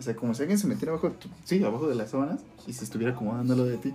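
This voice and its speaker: Music plays in the background as the speaker talks at a very fast pace. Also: man. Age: 20s. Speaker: podcast co-host. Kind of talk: casual chat.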